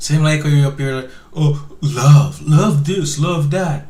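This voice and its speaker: This man talks at a fairly high pitch with lively intonation, with audible room echo and noticeable background noise in the recording. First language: not English (immigrant). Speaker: online commentary show host. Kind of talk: reaction commentary on clips. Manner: halting, many repeated words.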